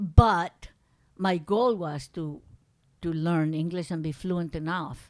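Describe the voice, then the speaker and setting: Speaking at a very slow pace with a Spanish accent, a woman uses a fairly low pitch with ordinary variation and big swings in loudness. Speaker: grandmother telling life story. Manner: halting, searching for words, amused, with grammatical slips and restarts.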